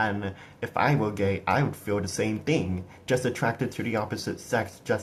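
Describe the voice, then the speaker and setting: The man's voice is fairly low and somewhat breathy. He keeps a moderate pace with ordinary pitch variation. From USA. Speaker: political commentator (amateur). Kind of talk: political rant. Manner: animated; halting, repeating words.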